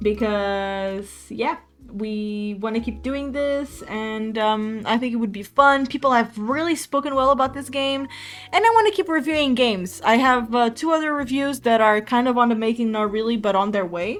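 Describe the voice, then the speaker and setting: With music in the background, the speaker has a Portuguese accent. The pace is moderate, with ordinary pitch variation. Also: woman. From Portugal. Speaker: streamer. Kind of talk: casual chat. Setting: live stream.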